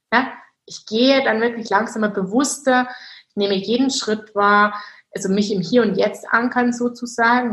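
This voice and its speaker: The delivery moves at a moderate pace with fairly even intonation. The voice is somewhat breathy. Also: woman. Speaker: mindset coach. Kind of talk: interview.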